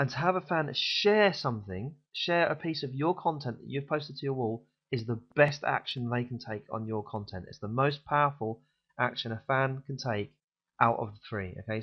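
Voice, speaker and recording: This man talks with a British accent, using lively intonation at a medium pitch. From UK. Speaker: online marketing vlogger. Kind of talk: tutorial. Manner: fast; casual, frequent fillers.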